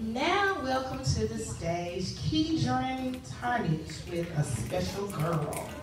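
Very slow speech with hardly any pauses, audible room echo and noticeable background noise. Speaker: teacher and event emcee. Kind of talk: event emceeing to an audience. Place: hall.

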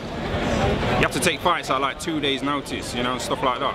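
A man's voice with ordinary pitch variation, dry with no echo, over loud background noise. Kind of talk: interview answer. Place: street. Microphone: phone near.

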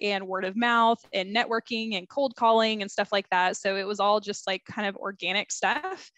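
A woman with an ordinary speaking voice talks at a moderate pace with ordinary pitch variation, in a dry, close sound with no echo. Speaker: Facebook group marketing consultant. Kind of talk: interview.

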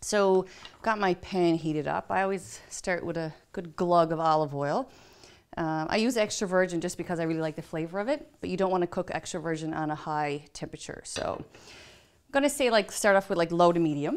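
A woman's voice with ordinary pitch variation and a fairly quick pace, over a quiet background. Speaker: chef host. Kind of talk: cooking tutorial. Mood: warm, relaxed. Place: kitchen.

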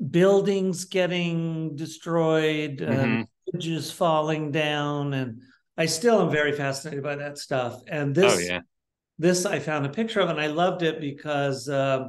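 The background is quiet. A man talks fairly slowly, with ordinary pitch variation. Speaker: interviewee. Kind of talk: interview answer. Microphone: video call.

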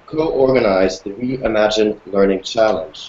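There is audible room echo and light background noise around a man's voice. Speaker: hangout host. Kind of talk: moderator introduction. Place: office. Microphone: video call.

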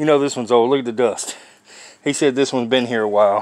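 In a dry sound with no echo, a man speaks with fairly even intonation. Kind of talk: casual vlog chat. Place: garage. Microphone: phone near.

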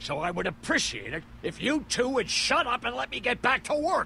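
Putting on a character voice, a man speaks at a moderate pace with an extremely high pitch and big pitch swings. His tone is bright and sharp, with vocal fry.

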